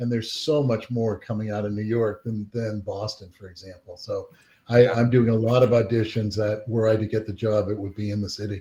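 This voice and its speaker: In a dark, mellow tone, a man speaks with a fairly low pitch, somewhat breathy, with monotone, flat intonation and big swings in loudness. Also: fairly quick pace. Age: 60s. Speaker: actor, former acting student. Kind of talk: casual chat.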